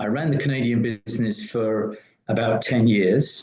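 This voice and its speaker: With a dark, mellow tone, a man speaks at a medium pitch and a moderate pace, using ordinary pitch variation. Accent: British. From UK. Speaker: business consultant. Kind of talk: interview.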